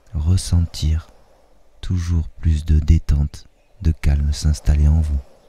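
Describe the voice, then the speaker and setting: A man speaks very slowly in a soothing, gentle tone that is dark and mellow, somewhat breathy, with fairly even intonation. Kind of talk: guided hypnosis meditation. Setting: nature sounds of birds and waves in background. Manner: soothing, slow, gentle, dreamy.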